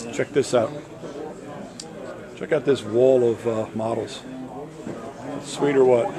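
Against noticeable background noise, a man speaks at a fairly slow pace with fairly even intonation. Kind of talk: casual walkthrough commentary. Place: hall. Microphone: phone near.

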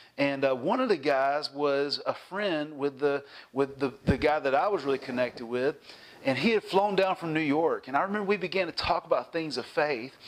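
The speaker has a Southern US accent and ordinary pitch variation. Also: man, fairly high pitch for a man, moderate pace. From US South, South Carolina. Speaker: pastor. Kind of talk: sermon. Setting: church. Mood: warm, cheerful, animated. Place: home room. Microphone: lapel.

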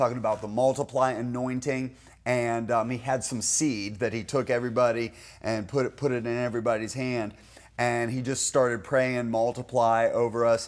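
Moderate in speed, a man's delivery stays monotone, with flat intonation. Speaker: pastor. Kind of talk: interview answer storytelling. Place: studio.

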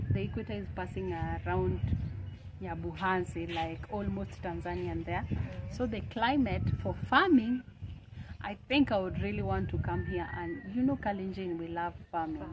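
Noticeable background noise runs under a woman's voice as she speaks at a moderate pace. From Kenya. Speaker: YouTuber; vlogger. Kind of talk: casual chat. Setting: outdoors. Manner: animated. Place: street.

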